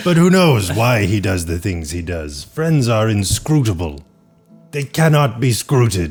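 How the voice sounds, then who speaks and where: A man's put-on character voice at medium pitch, with very wide pitch swings, a moderate pace and faint music in the background. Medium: actual play. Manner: stilted, formal, deadpan.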